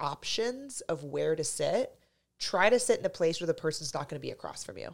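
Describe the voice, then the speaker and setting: A moderate pace carries through a very clean recording where the background is silent. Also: woman. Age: 30s. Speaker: dating coach and podcast host. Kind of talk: casual chat. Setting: studio.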